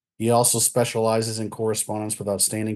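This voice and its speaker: A man's dark, mellow tone, fairly low in pitch and fairly quick, with monotone, flat intonation over a quiet background. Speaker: society board member hosting talk. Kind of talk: formal introduction. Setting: video call. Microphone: webcam.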